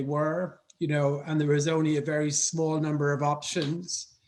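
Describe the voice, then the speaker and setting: A man with an Irish accent, fairly high in pitch, at a moderate pace. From Ireland, Dublin. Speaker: foreign policy expert. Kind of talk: panel discussion.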